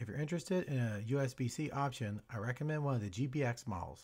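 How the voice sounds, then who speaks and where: A man at a very fast pace and medium pitch, somewhat breathy, with ordinary pitch variation, on a very clean recording with a silent background. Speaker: channel owner, camera operator and voice-over narrator. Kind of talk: product unboxing and review narration.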